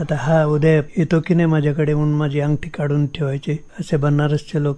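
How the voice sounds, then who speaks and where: Fairly high-pitched and somewhat breathy, a man's voice has a dark, mellow tone and monotone, flat intonation. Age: old. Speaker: tabla and santoor player. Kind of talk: radio interview answer.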